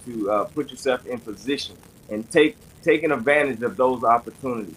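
A man speaks with an American accent at a moderate pace. He has a normal speaking voice with ordinary pitch variation. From Texas. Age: 40s. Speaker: former football player and author. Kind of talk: casual chat.

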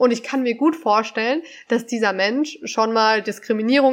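A woman speaks with a fairly high pitch and ordinary pitch variation. The background is quiet. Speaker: podcast co-host. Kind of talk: casual chat. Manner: articulate, presentational.

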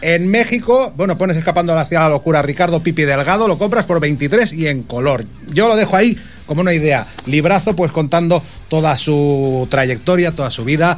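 A man's voice sits fairly high and has lively intonation. Noticeable background noise runs behind him. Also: moderate pace. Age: 40s. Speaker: radio host. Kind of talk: casual chat. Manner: animated.

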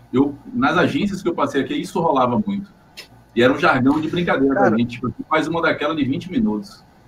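A man talks with lively intonation at a fairly high pitch. There is noticeable background noise. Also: fairly quick pace. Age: 30s. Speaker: designer and podcast co-host. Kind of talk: casual chat.

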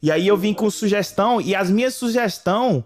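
A man's high-pitched voice at a fairly slow pace. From eastern Minas Gerais, Brazil. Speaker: podcast co-host, youth group leader. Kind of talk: casual chat.

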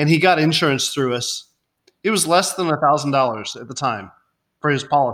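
Fairly high in pitch, a man uses an ordinary speaking voice at a fairly quick pace with ordinary pitch variation, on a very clean recording with a silent background. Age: 40s. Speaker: insurance company founder. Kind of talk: interview.

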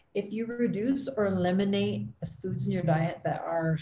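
Speaking at a moderate pace, a woman with a Midwestern US accent uses a fairly low pitch. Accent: US Midwest. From Ohio, US. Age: 30s. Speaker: health coach. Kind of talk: interview.

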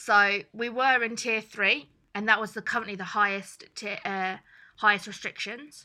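A woman talks at a moderate pace in a fairly high, bright, sharp voice, with fairly even intonation. Her loudness swings widely, and the recording is very clean with a silent background. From England. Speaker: podcast co-host. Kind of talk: casual chat.

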